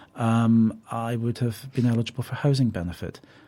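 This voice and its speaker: A dark, mellow tone with a Scottish accent at a fairly quick pace, on a very clean recording with a silent background. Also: man. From Scotland. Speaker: parliamentary candidate. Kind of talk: radio interview.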